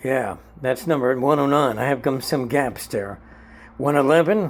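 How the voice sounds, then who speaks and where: A man is talking. His voice sits at a fairly high pitch. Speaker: comic book collector vlogger. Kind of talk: casual show-and-tell monologue. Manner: fast.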